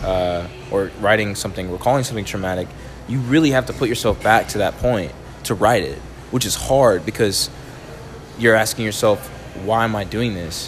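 The speaker talks at a fairly quick pace with ordinary pitch variation. Noticeable background noise runs underneath. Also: man. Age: 20s. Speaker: spoken word poet. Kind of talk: casual chat.

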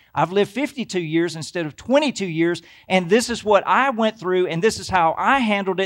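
A man with an American accent speaks at a moderate pace with very wide pitch swings, in a very clean recording with a silent background. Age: 50s. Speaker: pastor. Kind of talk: sermon. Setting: church.

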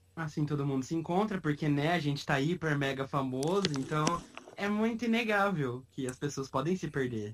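A fairly high-pitched man at a moderate pace, against noticeable background noise. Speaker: podcast host. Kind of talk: casual chat.

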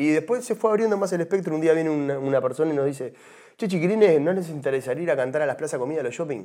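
A man speaks at a very fast pace with lively intonation and a fairly high pitch. His tone is dark and mellow on a very clean recording with a silent background. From Uruguay. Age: 40s. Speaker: former tropical music singer. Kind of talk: testimony. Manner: hesitant, repeats words.

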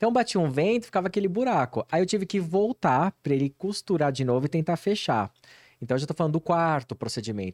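Speaking very fast, a man uses a high pitch with very wide pitch swings and very even loudness. The recording is very clean, with a silent background and a dry, close sound with no echo. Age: 40s. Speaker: hair transplant clinic marketing professional. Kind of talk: casual interview.

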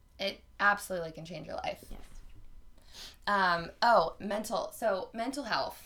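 With an American accent, a woman speaks at a fairly slow pace in a medium pitch, her bright, sharp tone marked by lively intonation, big swings in loudness, and long, frequent pauses. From North Carolina. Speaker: podcast host. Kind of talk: casual chat.

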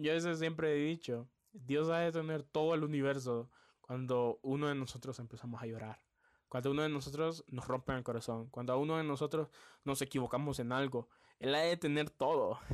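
A man with a Honduran accent speaks at a fairly high pitch, his intonation fairly even. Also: moderate pace, very clean recording, silent background. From Honduras, Tegucigalpa. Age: 20s. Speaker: podcast host, DJ and journalism student. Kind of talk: personal testimony podcast.

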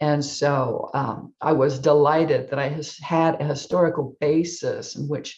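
A woman speaks fairly slowly in a very deep, low voice that is somewhat breathy, her intonation fairly even. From US, Air Force family, partly San Antonio. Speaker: novelist. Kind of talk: author interview.

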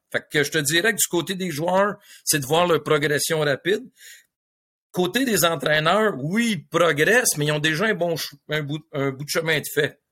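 On a very clean recording with a silent background, a man with a Quebec accent speaks fairly slowly in a fairly high pitch, with a bright, sharp tone and ordinary pitch variation. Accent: Québécois French. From Quebec, South Shore of Montreal. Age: 60s. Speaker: hockey coach and coaching mentor. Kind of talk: casual interview.

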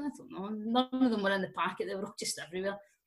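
With ordinary pitch variation, a woman's somewhat breathy voice is heard. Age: 30s. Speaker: drinks social media creator. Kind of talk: casual chat.

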